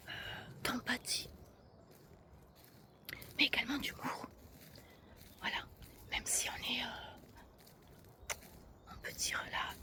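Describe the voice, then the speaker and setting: Someone whispers at a very slow pace with long, frequent pauses. Noticeable background noise can be heard. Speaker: ASMR creator. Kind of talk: ASMR walk-and-talk, casual talk to camera. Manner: whispered.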